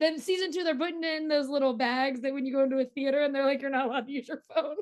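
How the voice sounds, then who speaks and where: Talking at a very fast pace, a woman with a high pitch keeps her intonation fairly even. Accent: Pittsburgh. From Pittsburgh, US. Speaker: entertainment journalist. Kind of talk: interview. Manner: chatty.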